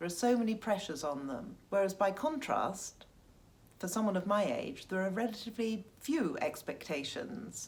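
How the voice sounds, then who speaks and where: A woman's somewhat breathy, medium-pitched voice with lively intonation at a moderate pace. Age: 60s. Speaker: Instagram fashion influencer. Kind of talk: interview answer.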